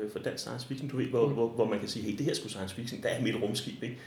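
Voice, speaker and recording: A man speaks in a somewhat breathy voice, with audible echo in the room. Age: 40s. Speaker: librarian. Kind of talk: interview. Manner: halting.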